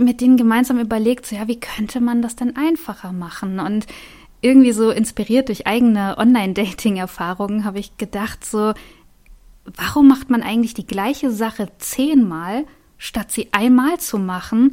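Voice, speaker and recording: A woman's fairly high-pitched, dark, mellow voice at a moderate pace. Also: ordinary pitch variation. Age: 30s. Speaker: vocational school teacher and startup founder. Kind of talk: interview.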